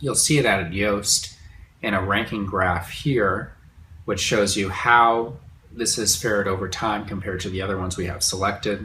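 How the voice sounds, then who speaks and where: Audible room echo surrounds a man with a fairly low pitch. His tone is bright and sharp, with fairly even intonation. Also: moderate pace. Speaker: online course instructor. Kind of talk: tutorial. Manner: casual, conversational.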